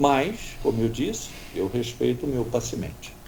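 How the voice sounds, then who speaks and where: Speaking at a very slow pace is a man. The room echo can be heard. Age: 70s. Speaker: doctor. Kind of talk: radio interview.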